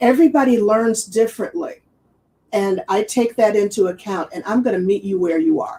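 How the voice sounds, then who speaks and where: A woman's normal speaking voice, a normal speaking voice, fairly high in pitch with lively intonation at a moderate pace. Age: 60s. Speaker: business coach. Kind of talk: interview.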